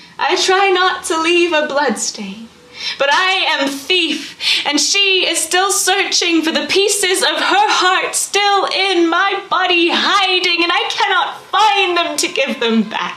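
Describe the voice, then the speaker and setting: A raised, projected voice at a very slow pace with hardly any pauses, ordinary pitch variation, and noticeable background noise. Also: woman, extremely high pitch for a woman. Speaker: spoken word poet. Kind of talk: spoken word poetry performance. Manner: emotional, raw.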